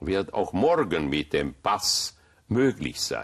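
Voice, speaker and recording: In a Hungarian accent, a man speaks at a very slow pace. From Hungary, Budapest. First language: Hungarian (speaking German). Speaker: rabbi. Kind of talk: interview.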